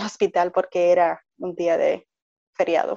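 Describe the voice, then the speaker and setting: At a fairly slow pace, a woman with an unremarkable speaking voice talks at a medium pitch. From Puerto Rico. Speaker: mother sharing birth stories. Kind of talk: interview, personal testimony.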